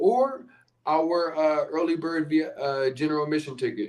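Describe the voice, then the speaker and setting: A man with a Philadelphia accent at a moderate pace, fairly high in pitch, with ordinary pitch variation. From US Northeast, Philadelphia. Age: 30s. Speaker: podcast host, relocation coach. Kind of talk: live stream sales pitch. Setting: livestream. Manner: casual, with fillers.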